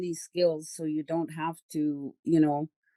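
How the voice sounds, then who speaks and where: A woman with a normal speaking voice and fairly low pitch, at a fairly slow pace, with a dry, close sound and no echo. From Manitoba, Canada (First Nation). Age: 60s. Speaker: community worker, guest speaker. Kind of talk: casual conversation.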